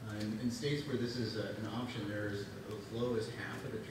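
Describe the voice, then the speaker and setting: A man speaks at a fairly quick pace amid noticeable background noise and audible room echo. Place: hall.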